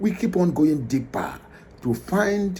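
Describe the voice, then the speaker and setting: This man has a high pitch and a dark, mellow tone. He speaks at a very slow pace. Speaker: channel host presenting a video clip. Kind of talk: casual host introduction to camera.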